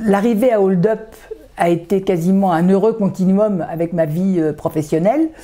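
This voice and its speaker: Her voice has a dark, mellow tone at a medium pitch. The woman keeps her loudness very even throughout. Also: ordinary pitch variation, moderate pace. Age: 70s. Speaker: association vice-president, retired neuroscientist. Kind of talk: interview. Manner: hesitant, many filler sounds.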